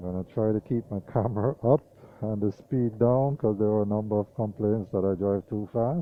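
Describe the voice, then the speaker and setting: A man talks in a relaxed tone at a moderate pace, his pitch fairly low with ordinary variation. Music plays in the background. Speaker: vlogger. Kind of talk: driving commentary. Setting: in a car. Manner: casual, relaxed.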